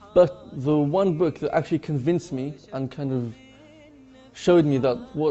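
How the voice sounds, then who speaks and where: A man talks at a fairly high pitch. Background music can be heard. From England (Bath, south-west). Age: 20s. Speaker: convert to Islam. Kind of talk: interview testimony. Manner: hesitant, with fillers.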